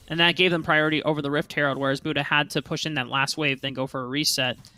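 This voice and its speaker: A man at a fairly high pitch, talking at a very fast pace over background music. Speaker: esports caster. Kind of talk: live commentary.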